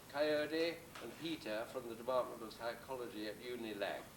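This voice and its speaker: A man's lively intonation and moderate pace come through noticeable background noise. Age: 80s+. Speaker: retired psychology professor. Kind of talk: speech at a celebration.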